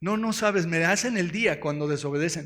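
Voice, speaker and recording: At a fairly slow pace, a man speaks in an animated tone at a high pitch with ordinary pitch variation. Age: 60s. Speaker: pastor. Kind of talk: sermon.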